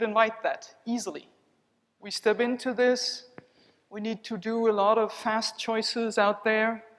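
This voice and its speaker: Delivered at a moderate pace with a non-native accent, the speech has ordinary pitch variation and big swings in loudness. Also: woman. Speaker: body psychotherapist. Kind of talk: conference keynote with guided exercise. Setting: conference hall with audience. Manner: calm, measured.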